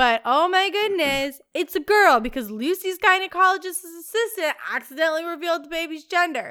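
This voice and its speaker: A woman's raised, projected voice, extremely high-pitched with lively intonation, at a fairly quick pace with hardly any pauses, in a very clean recording with a silent background. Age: 20s. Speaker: podcast co-host. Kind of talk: casual chat.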